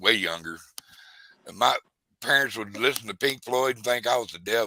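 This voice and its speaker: Lively intonation and a bright, sharp tone mark this medium-pitched man's speech in a Texan accent. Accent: Texan Southern US. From South Texas. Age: 60s. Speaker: fishing livestreamer. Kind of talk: casual chat. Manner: animated.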